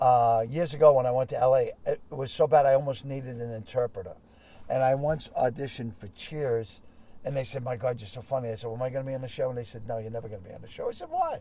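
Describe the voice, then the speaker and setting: Rattling along at a very fast pace, a man with a Boston accent speaks in a dark, mellow, somewhat breathy voice of medium pitch, fairly even in intonation but with big swings in loudness. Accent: thick Boston. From Boston, Massachusetts. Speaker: comedian. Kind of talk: casual interview chat. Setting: in a car.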